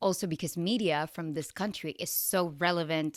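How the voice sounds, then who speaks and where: In a very clean recording with a silent background, a woman speaks at a fairly low pitch. Her tone is bright and sharp, her pace moderate, with ordinary pitch variation. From Venezuela. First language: Spanish. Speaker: podcast host and actress. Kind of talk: casual chat.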